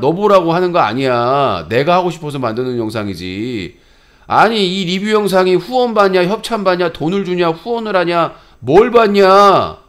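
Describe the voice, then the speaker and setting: His high-pitched voice moves through very wide pitch swings as the man speaks. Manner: slow, drawn-out delivery.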